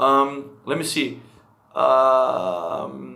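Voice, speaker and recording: Audible room echo surrounds a man's voice. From Netherlands. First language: Dutch. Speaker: language-learning streamer. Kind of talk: live stream chat. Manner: casual.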